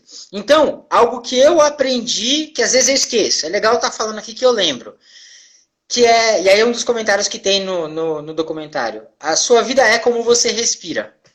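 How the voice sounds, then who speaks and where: A woman talks in an ordinary speaking voice at a fairly high pitch and a moderate pace. Her intonation is lively, and her loudness swings widely. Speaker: therapist hosting live stream. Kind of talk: casual live stream talk. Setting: live video stream.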